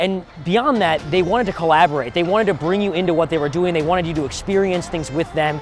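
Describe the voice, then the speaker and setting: Over background music, a high-pitched man talks at a very fast pace with hardly any pauses. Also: ordinary pitch variation. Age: 20s. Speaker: political show host. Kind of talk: video presentation.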